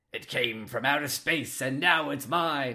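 In a put-on character voice, a man delivers his lines with a dramatic tone at a moderate pace, his pitch medium with ordinary variation. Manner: dramatic, trailer-style.

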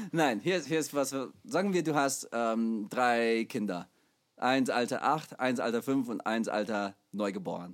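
A man speaks with an English accent and lively intonation at a fairly slow pace. The recording is very clean, with a silent background. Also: medium pitch for a man. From USA. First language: English (speaking German). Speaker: podcast co-host, musician. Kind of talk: casual chat. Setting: recording studio.

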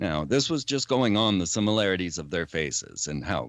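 On a very clean recording with a silent background, a man with vocal fry speaks at a moderate pace, his pitch swinging very widely. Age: 50s. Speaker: conspiracy theorist and filmmaker. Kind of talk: interview.

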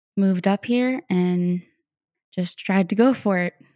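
In an American accent, the speaker's dark, mellow tone comes through with fairly even intonation, a dry, close sound with no echo, and a very clean recording with a silent background. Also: woman. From Florida. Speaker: singer-songwriter. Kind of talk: interview.

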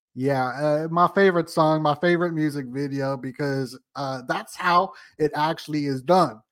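A man's fairly high-pitched voice, a normal speaking voice, at a moderate pace with hardly any pauses and ordinary pitch variation, on a very clean recording with a silent background. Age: 30s. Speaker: conspiracy podcast host. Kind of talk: casual chat.

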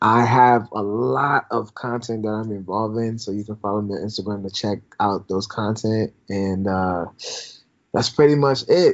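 A man with an American accent and an ordinary speaking voice. He talks at a moderate pace with fairly low pitch and ordinary pitch variation. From Minnesota, Twin Cities. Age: 20s. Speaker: student podcaster. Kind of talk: casual interview chat. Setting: remote call.

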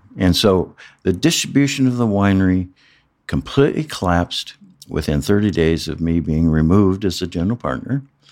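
A man with a Midwestern American accent talks at a fairly quick pace in a very deep, low voice. His intonation is lively, and the recording is very clean with a silent background. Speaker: former winemaker. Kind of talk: interview. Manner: halting.

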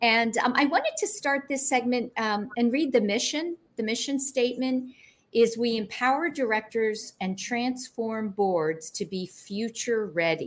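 With lively intonation, a woman speaks at a fairly high pitch and a fairly slow pace in an unremarkable speaking voice. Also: very clean recording, silent background. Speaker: talk show host. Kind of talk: interview. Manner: warm, chatty with frequent fillers.

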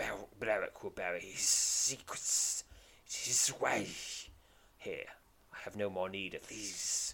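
A raspy, hissing put-on character voice moves at a fairly slow pace with long, frequent pauses. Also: man. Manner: ominous, curt.

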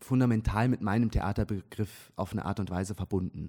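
A man's fairly low voice, in a dry, close sound with no echo. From Switzerland, near Zurich. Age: 20s. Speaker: stage actor. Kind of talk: casual interview. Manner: hesitant, many fillers.

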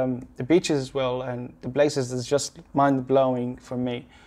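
With an Arabic accent, a man talks at a moderate pace in a medium-pitched voice with a flat, monotone delivery. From Gaza, Palestine. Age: young. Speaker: visual effects technical director. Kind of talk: casual interview. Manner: halting, many repetitions and false starts.

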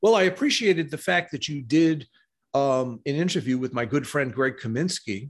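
A man with an American accent has a fairly high pitch and a normal speaking voice. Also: lively intonation, moderate pace. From US, New York City. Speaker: esoteric author and diagram artist. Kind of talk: interview.

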